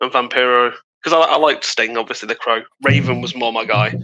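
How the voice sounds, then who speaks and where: A man with a British accent, medium pitch and a very fast pace. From UK. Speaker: podcast co-host. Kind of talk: casual chat.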